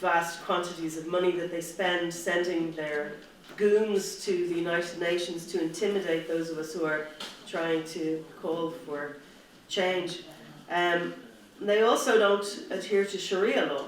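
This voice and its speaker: Someone with an Irish accent speaks at a fairly slow pace amid noticeable background noise. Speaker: human rights activist. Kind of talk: conference speech.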